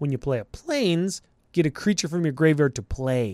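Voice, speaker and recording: Speaking fairly slowly with a Canadian accent and lively intonation, a man has a fairly high pitch and an unremarkable speaking voice, heard in a dry, close recording with no echo that is very clean against a silent background. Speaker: podcast co-host. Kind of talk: casual chat.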